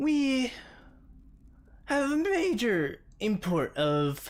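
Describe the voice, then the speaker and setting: Someone performs a put-on character voice at a fairly high pitch. The pace is very slow, and the pitch swings very widely. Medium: actual play. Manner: formal, measured.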